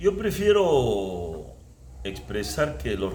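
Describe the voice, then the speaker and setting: A man speaks with a Peruvian accent. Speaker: former footballer. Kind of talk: interview answer.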